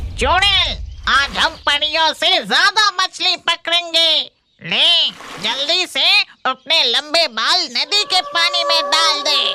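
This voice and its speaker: A cartoonish character voice, female-sounding, at extremely high pitch and very slow pace. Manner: brash, combative.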